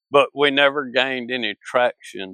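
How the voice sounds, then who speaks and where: A man speaks with a Mississippi accent. The sound is dry and close with no echo, over a quiet background. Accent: Mississippi Southern US. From northern Mississippi. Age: 60s. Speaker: sculptor. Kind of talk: interview. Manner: halting.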